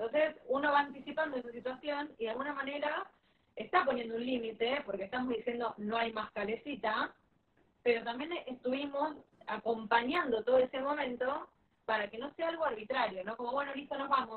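Speaking in a Rioplatense accent, a woman with a high pitch talks at a fairly quick pace with ordinary pitch variation. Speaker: parenting educator. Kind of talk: live-stream interview.

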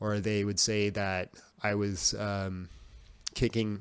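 This man has an unremarkable speaking voice with a Canadian accent. His pitch is fairly low and his intonation fairly even. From Canada, Yukon (Whitehorse). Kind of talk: casual chat.

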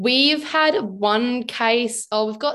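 A woman speaks with an Australian accent and ordinary pitch variation. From South Australia. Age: 20s. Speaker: social work student. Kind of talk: interview.

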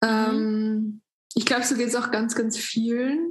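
At a fairly slow pace, a woman speaks in a plain, everyday voice pitched fairly high. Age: 20s. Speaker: influencer. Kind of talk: casual chat. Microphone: poor recording quality.

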